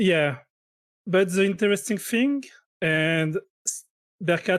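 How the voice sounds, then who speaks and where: At a very slow pace, a man with a French accent speaks in a high pitch, the sound dry and close with no echo on a very clean recording with a silent background. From France. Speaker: game commentator. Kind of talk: live commentary. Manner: halting.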